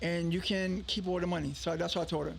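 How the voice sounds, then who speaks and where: A man with a high pitch speaks at a very fast pace. His intonation is fairly even, and the room echo is audible. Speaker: entrepreneur and radio station owner. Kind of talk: interview, telling his story. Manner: casual, halting with repetitions.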